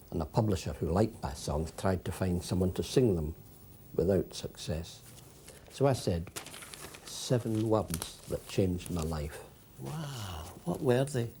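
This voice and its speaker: With noticeable background noise, a man speaks in a very deep, low voice with a Scottish accent. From Scotland. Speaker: poet and humorist. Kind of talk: comic self-interview.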